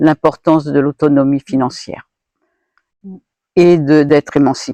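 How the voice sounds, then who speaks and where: The voice has a dark, mellow tone and monotone, flat intonation, heard in a dry, close sound with no echo. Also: woman. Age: 70s. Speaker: retired feminist activist and volunteer. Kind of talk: interview answer.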